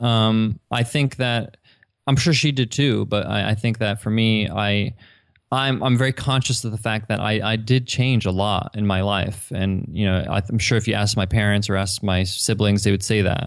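A man with a normal speaking voice and an American accent, fairly low in pitch, at a moderate pace, with fairly even intonation and very even loudness. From US Northeast, Long Island. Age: 30s. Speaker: entrepreneur. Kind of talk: interview conversation.

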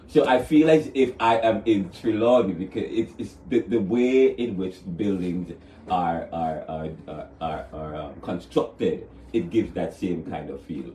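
With a Jamaican accent, a man speaks in a dark, mellow, somewhat breathy tone, with lively intonation and big swings in loudness. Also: fairly low pitch for a man. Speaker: author. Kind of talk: interview. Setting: studio.

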